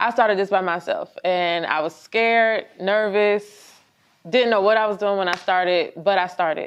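Against a quiet background, a woman with an ordinary speaking voice talks at a moderate pace with fairly even intonation. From Virginia. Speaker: clothing brand owner. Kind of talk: interview.

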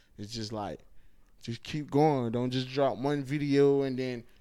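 A man with an American accent speaks at a moderate pace and medium pitch, his intonation fairly even. He has a plain, everyday voice. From Miami, Florida (Haitian family). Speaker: comedian. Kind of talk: casual interview.

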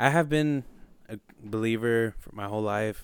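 Fairly even intonation from a man, his pitch fairly low. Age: 20s. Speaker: podcast host. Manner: nervous.

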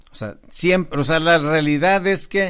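A man talks in a normal speaking voice at a moderate pace, with ordinary pitch variation. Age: 50s. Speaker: podcast host. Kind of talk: casual chat.

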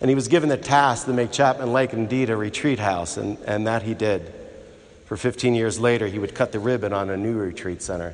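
A man's unremarkable speaking voice at a fairly quick pace, with ordinary pitch variation. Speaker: priest. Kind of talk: funeral homily, a personal eulogy woven with gospel reflection. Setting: church. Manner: warm, reminiscent storytelling with fond laughter; heartfelt, tender and reverent, building to a prayerful close.

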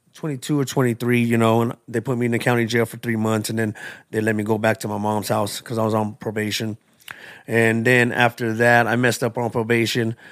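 A man speaks at a fairly quick pace with an American accent. His intonation is monotone and flat. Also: medium pitch for a man. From Tucson, Arizona (South Side). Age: 40s. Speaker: recovery testimony speaker. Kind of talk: testimony.

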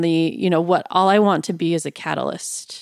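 Recorded very cleanly against a silent background, a woman with an American accent and a plain, everyday voice speaks at a fairly low pitch with fairly even intonation. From Iowa. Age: young. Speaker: podcast host. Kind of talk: interview conversation.

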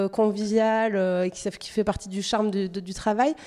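On a very clean recording with a silent background, a woman speaks at a moderate pace with fairly high pitch and fairly even intonation. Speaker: podcast host. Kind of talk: interview.

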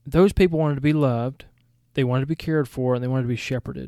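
Speaking very fast in a Southern US accent, a man uses a medium pitch, a dark, mellow tone and fairly even intonation. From Georgia, US South. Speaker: seminary podcast host and former missionary and college teacher. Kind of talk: podcast introduction, scripted-style monologue.

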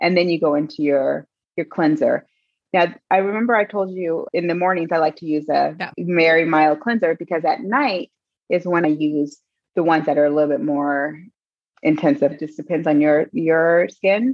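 A woman's unremarkable speaking voice, fairly low in pitch, with ordinary pitch variation at a moderate pace. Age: 40s. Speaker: fitness and wellness coach. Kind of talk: casual chat.

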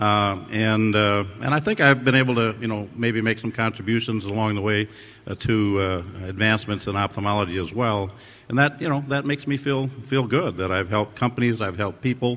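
A man's plain, everyday voice with a fairly low pitch, ordinary pitch variation and a fairly quick pace. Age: 60s. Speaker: ophthalmologist, surgeon and innovator, award honoree. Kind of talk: interview answers, reflective conversation. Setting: award ceremony with audience.

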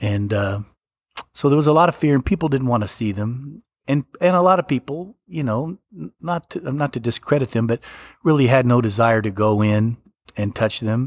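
The recording is very clean with a silent background and a dry, close sound with no echo. A man of medium pitch speaks in a normal speaking voice at a moderate pace with lively intonation. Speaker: hospital physician. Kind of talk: interview testimony.

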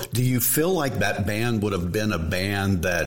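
In an ordinary speaking voice, a man talks at a fairly low pitch and a moderate pace with ordinary pitch variation. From Texas. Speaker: podcast host. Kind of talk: casual interview.

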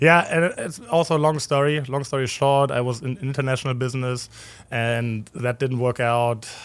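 With a German accent, a man speaks at a moderate pace in a medium pitch, his intonation fairly even. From Germany, Berlin. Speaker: professional soccer goalkeeper. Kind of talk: casual interview chat. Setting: studio overlooking the stadium.

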